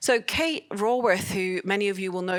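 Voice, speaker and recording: With a Scottish accent, a woman speaks at a fairly quick pace. Her pitch is medium, with ordinary pitch variation. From Scotland. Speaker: open source advocate, conference speaker. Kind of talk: conference talk.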